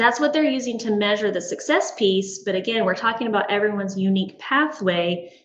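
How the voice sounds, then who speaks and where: A woman's fairly high-pitched voice with lively intonation, at a fairly quick pace with hardly any pauses, in audible room echo. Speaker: school administrator. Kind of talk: board meeting presentation.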